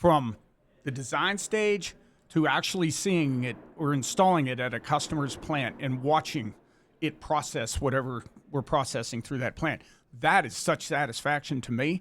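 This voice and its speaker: On a very clean recording with a silent background, a man with a normal speaking voice talks at a moderate pace, fairly high in pitch with ordinary pitch variation. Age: 60s. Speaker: shredding equipment company CEO. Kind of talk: interview. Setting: back of a shred truck.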